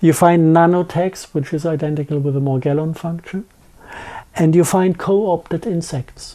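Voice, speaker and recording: A woman with a strong German accent speaks in a dark, mellow tone at a fairly low pitch, her intonation fairly even, on a very clean recording with a silent background. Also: moderate pace. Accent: thick German. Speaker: interview guest on conspiracy topics. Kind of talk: interview conversation. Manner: halting, many fillers and restarts.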